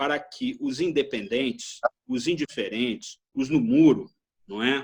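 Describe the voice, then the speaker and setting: A man's speech moves fairly slowly, with ordinary pitch variation. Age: 60s. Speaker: retired political science professor. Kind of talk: interview discussion. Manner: halting, many repetitions.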